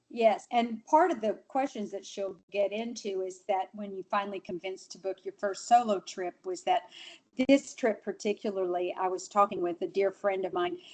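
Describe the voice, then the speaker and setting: A woman at medium pitch talks at a moderate pace with ordinary pitch variation and big swings in loudness. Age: 60s. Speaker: longtime travel guest sharing experiences. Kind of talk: panel conversation on a live webinar. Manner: animated.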